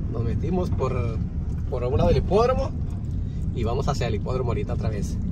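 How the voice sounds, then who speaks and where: Very fast speech broken by long, frequent pauses, dry with no echo, over loud background noise. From Tijuana, Mexico. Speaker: video blogger. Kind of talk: driving vlog narration. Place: car. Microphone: phone near.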